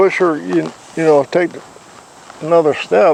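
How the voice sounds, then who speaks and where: Noticeable background noise sits behind this man. His voice is high-pitched and his pace moderate. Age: 70s. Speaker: horse trainer. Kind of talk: casual instructional talk.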